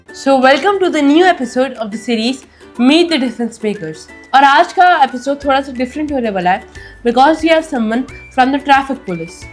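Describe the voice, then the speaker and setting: Music plays behind a woman with a high-pitched voice. She talks at a moderate pace with lively intonation. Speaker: podcast host. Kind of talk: podcast interview questions.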